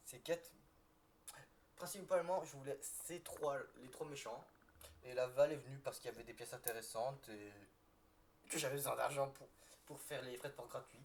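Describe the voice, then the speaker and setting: A somewhat breathy man talks at a moderate pace with ordinary pitch variation. His loudness swings widely, and he leaves long, frequent pauses. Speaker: toy reviewer youtuber. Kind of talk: live build commentary. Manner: halting, many false starts.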